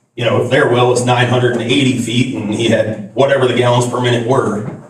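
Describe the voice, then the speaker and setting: There is audible room echo around a man speaking at a medium pitch. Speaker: resident giving public comment. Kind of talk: public hearing testimony. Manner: loud.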